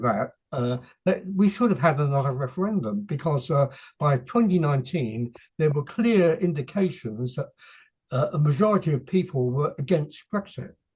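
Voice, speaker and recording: A man with an English accent, fairly high pitch and a somewhat breathy voice, with lively intonation at a moderate pace. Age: 80s+. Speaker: author. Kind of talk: interview. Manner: halting.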